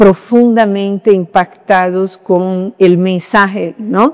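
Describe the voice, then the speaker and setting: A woman speaks at a very slow pace with a Brazilian accent. Her pitch sits in the medium range. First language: Portuguese (speaking Spanish). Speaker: academic. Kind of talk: panel discussion. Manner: halting, many fillers.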